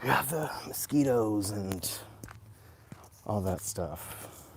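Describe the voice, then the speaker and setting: A man with an American accent speaks at a very slow pace. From US, Virginia and Florida. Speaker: vlogger. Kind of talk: casual live stream vlog. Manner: slow, with pauses.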